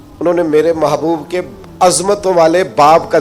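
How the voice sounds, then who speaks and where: Over noticeable background noise, a man speaks in a passionate tone with a high-pitched voice. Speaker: Islamic scholar preacher. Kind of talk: Islamic sermon (bayan) to an audience. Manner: passionate, emphatic, rhetorical.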